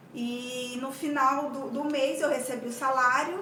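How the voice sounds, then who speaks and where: A woman with a high pitch projects a raised voice over noticeable background noise and audible room echo. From Brazil, Mato Grosso do Sul. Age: 40s. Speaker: tax auditor and coach sharing her exam-study experience. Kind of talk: personal testimony. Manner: halting, many repetitions.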